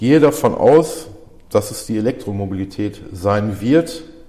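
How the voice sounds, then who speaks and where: Noticeable background noise behind lively intonation. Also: man. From Germany, Ruhr area (Dorsten). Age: 40s. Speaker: body shop manager. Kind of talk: interview. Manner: hesitant, many fillers.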